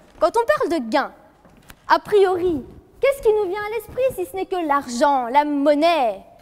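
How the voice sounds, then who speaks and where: With long, frequent pauses, a woman talks at a fairly slow pace in an extremely high voice that swings very widely in pitch. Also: big swings in loudness. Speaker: law student competitor. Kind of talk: eloquence contest speech. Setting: courtroom hall with jury and audience. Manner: formal.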